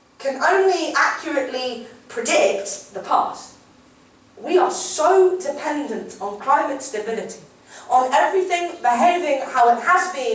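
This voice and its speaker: Over noticeable background noise, a woman with a high pitch talks at a fairly slow pace, her intonation lively. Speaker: slam poet. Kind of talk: spoken word poetry performance.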